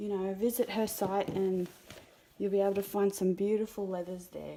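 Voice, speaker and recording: At a moderate pace, the delivery stays monotone and flat in intonation. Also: woman. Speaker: art tutorial creator. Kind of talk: tutorial. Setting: quiet room talking to a camera. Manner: halting.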